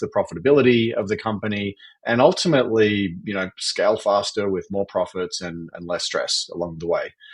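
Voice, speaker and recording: A man with an Australian accent at a moderate pace, against a quiet background. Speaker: fractional CFO and entrepreneur. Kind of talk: podcast interview.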